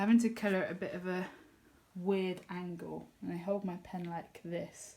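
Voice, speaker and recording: At a moderate pace, a woman speaks with a medium pitch, a dark, mellow tone and monotone, flat intonation. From England. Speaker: colouring youtuber. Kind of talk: casual chat. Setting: home kitchen.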